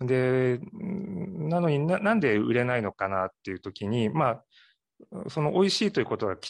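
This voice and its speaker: Over a quiet background, a man with a medium pitch speaks at a moderate pace with very wide pitch swings. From Ehime, Japan (Matsuyama). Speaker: sake brewery owner. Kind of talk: interview. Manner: polite, formal.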